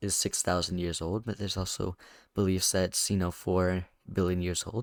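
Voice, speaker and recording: A quiet male voice, dry and close with no echo, in a very clean recording over a silent background. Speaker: YouTuber podcast host. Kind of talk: casual solo monologue. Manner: halting.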